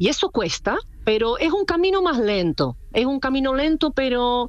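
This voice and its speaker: A woman's fairly slow, high-pitched voice with a non-native accent and very wide pitch swings, with music in the background. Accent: foreign accent in Spanish. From Czech Republic. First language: Czech (speaking Spanish). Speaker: clothing designer. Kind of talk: interview.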